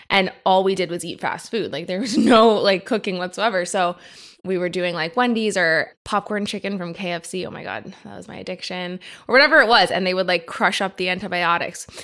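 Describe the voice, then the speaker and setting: A normal speaking voice moves at a fairly quick pace with ordinary pitch variation and big swings in loudness. The recording is very clean with a silent background. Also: woman, medium pitch for a woman. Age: 30s. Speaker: herbalist. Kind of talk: casual chat.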